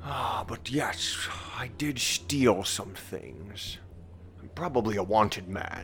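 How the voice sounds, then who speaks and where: A man whispers in a put-on character voice. He goes at a fairly slow pace. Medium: actual play. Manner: theatrical, old-fashioned diction.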